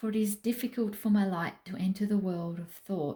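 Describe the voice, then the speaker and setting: A somewhat breathy woman with an Australian accent speaks at a fairly slow pace in a dark, mellow tone, with medium pitch and fairly even intonation. The recording is very clean, its background silent. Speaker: craft vlogger. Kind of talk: casual chat.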